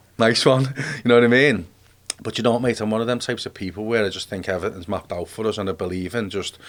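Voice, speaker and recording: On a very clean recording with a silent background, a man with a Liverpool accent speaks very fast at a fairly low pitch with ordinary pitch variation. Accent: Liverpool (Scouse). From Liverpool, England. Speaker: army veteran. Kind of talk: casual interview. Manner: animated.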